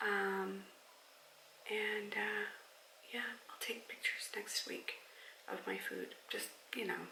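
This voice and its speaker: Through audible room echo and noticeable background noise, a woman speaks at a very slow pace. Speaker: weight loss vlogger. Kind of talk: casual vlog chat. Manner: hesitant, many fillers.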